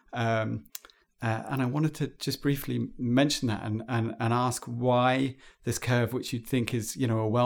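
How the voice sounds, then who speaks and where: With a British accent, a man speaks at a medium pitch in a monotone, flat intonation. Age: 40. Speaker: podcast host. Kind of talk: interview. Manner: halting, many fillers.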